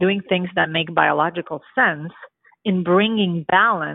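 A woman with a Romanian accent, at a fairly low pitch with ordinary pitch variation and a moderate pace. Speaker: dentist. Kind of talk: interview.

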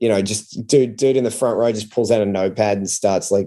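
A man talks with an Australian accent. His tone is dark and mellow. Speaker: comedian. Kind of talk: casual chat.

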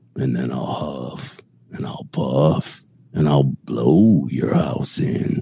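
A man does a put-on character voice, growling in a very deep, low pitch. He speaks at a very slow pace. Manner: huffing, menacing.

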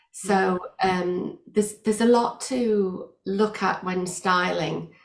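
The woman speaks at medium pitch with monotone, flat intonation. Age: 50s. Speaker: eyewear stylist and business owner. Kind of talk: interview. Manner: halting, many fillers.

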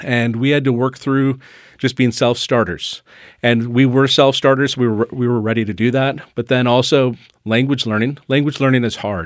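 Using a normal speaking voice, a man speaks at a moderate pace and medium pitch with fairly even intonation. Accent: American. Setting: studio.

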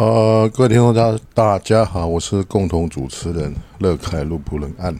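Amid noticeable background noise, a man talks at a moderate pace with ordinary pitch variation. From Taiwan. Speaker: podcast co-host, teacher. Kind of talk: casual chat.

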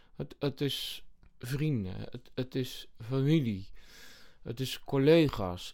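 A man speaks at a very slow pace. His pitch is medium and its variation ordinary. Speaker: comedian and sketch podcast host. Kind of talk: casual chat.

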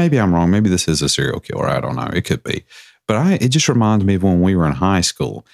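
Here the text is just read. It comes across as plain reading aloud.

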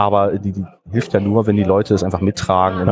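A man's pitch is very deep and low. He speaks at a very fast pace. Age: 40s. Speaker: board game club founder. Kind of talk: interview. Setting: board game event.

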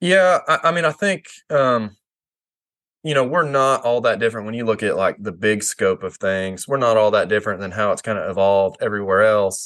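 A man with an American accent speaks at a fairly quick pace and medium pitch. His intonation is lively, over a quiet background. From Kansas, near Oklahoma border. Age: 30s. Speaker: former duck hunting outfitter and photographer. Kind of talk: casual podcast interview.

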